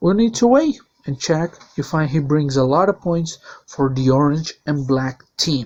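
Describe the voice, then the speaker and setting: A man speaks with a Portuguese accent at a fairly high pitch. His pace is fairly slow and his intonation lively. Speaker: sim racing league commentator. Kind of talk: video presentation.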